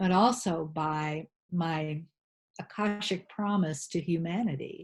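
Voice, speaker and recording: Against a quiet background, a woman with an American accent speaks very slowly in a fairly low, somewhat breathy voice. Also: ordinary pitch variation. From rural New England, USA. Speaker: holistic health practitioner and spiritual teacher. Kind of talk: interview answer.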